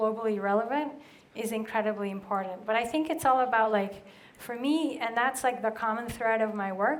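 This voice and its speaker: A woman speaks with a Spanish accent at a moderate pace, her pitch fairly high with ordinary variation. Audible room echo surrounds her voice. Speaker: brand strategist. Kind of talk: conference Q&A. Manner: casual, many fillers.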